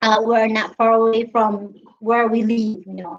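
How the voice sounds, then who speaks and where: A woman with a fairly high pitch speaks with a Filipino accent. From Philippines, Visayas. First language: Visayan. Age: 30s. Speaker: live streamer. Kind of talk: casual chat. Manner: halting.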